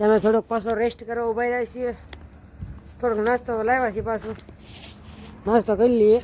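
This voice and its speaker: An extremely high-pitched male voice, monotone and flat, with noticeable background noise. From Gujarat, Bhavnagar district. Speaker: vlogger. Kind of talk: travel vlog narration. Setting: outdoors, walking on pilgrimage.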